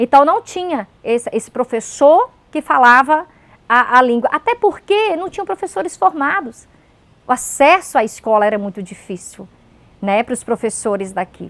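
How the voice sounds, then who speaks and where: Her high voice swings very widely in pitch and in loudness as the woman speaks at a moderate pace, in a dry, close sound with no echo. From Pomeranian community, Brazil. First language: Pomeranian (speaking Portuguese). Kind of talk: interview testimony.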